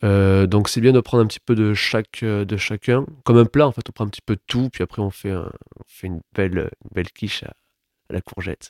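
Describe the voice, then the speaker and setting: Fairly low in pitch, a man talks at a moderate pace with fairly even intonation. The sound is dry and close with no echo, in a very clean recording with a silent background. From Toulouse, southern France. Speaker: playwright and stage director. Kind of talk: interview.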